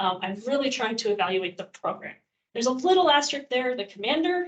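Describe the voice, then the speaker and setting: A woman races along at a very fast pace, her high pitch making very wide swings. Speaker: volunteer organization inspector presenting a training session. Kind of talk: training presentation.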